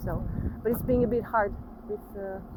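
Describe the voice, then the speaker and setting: Over noticeable background noise, a woman with fairly high pitch and ordinary pitch variation talks at a fairly quick pace. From Portugal. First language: Portuguese. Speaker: vlogger. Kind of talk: casual chat.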